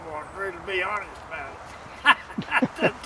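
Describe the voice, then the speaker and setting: At a fairly slow pace, a man with an American accent talks as noticeable background noise carries on around him. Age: 70s. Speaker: first-time deer hunter. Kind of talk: casual interview after hunt. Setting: outdoors. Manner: halting, many fillers.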